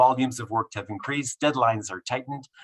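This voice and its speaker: In a very clean recording with a silent background and a dry, close sound with no echo, a man speaks at medium pitch and a fairly quick pace, somewhat breathy. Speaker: professor. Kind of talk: lecture. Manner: fast; halting.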